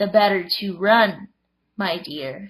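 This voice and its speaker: Speaking in a put-on character voice, a female-sounding voice comes across raspy at a medium pitch. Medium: read story. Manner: sly, fake-sweet.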